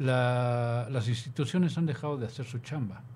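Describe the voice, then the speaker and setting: The voice belongs to a man and sounds somewhat breathy. His pitch variation is ordinary. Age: 50s. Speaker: radio host. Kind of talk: casual chat.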